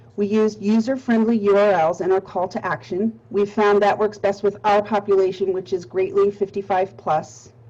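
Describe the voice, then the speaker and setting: A woman with a Pittsburgh accent speaks at a moderate pace and medium pitch, her intonation fairly even. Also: hardly any pauses. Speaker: nonprofit marketing presenter. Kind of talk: webinar presentation. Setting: webinar.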